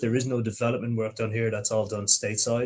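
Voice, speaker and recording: A man with an Irish accent. His voice sits at a medium pitch. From Ireland, Limerick. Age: 30s. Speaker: process engineer. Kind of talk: live Q&A.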